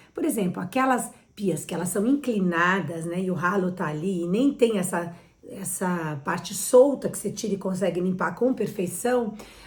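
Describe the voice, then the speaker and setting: In a room with audible echo, a woman speaks at a moderate pace and medium pitch, her tone animated and her pitch variation ordinary. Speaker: interior designer. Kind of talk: tutorial.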